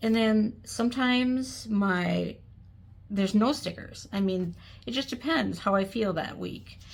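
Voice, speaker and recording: With ordinary pitch variation, the speech goes fairly slowly in a somewhat breathy voice. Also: woman, medium pitch for a woman. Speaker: planner hobbyist. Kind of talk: casual talk to camera.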